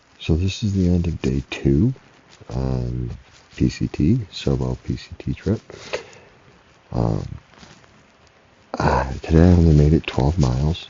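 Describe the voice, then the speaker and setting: A man with a very deep, low pitch talks at a fairly slow pace with lively intonation and long, frequent pauses. Background noise is noticeable. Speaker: solo thru-hiker vlogger. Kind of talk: video diary. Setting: outdoors at a campsite. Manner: hesitant, many fillers; whispering.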